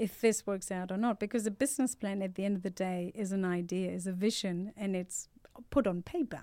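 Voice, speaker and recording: Delivered at a fairly quick pace, the voice has a dark, mellow tone and fairly even intonation. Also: woman, medium pitch for a woman. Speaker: startup founder. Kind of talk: interview. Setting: studio.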